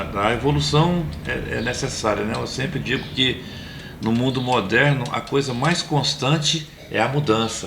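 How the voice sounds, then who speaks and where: A man at a fairly slow pace with ordinary pitch variation, against noticeable background noise. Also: medium pitch for a man. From Pará de Minas, Minas Gerais. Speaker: infectious disease doctor. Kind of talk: interview answer.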